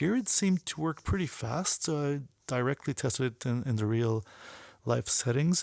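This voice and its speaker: A man at medium pitch talks at a moderate pace, the sound dry and close with no echo. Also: very clean recording, silent background. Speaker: photographer and app developer. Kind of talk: video walkthrough of own photo work. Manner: hesitant, many fillers and restarts.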